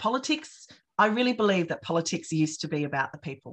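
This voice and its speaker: A woman with an Australian accent against a quiet background. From Australia, rural New South Wales. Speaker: political candidate. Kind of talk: campaign town hall talk. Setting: video call. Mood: earnest, passionate. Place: home room. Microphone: webcam.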